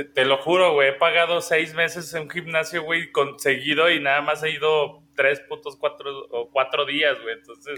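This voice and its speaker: A man with a Mexican accent speaks in a monotone, flat intonation at a fairly high pitch and moderate pace. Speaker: podcast co-host. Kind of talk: casual chat.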